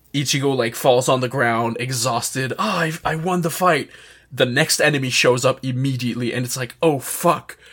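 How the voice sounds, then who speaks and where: A man of medium pitch talks at a moderate pace with ordinary pitch variation over noticeable background noise. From Canada, northeast New Brunswick. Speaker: podcast guest. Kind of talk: casual chat.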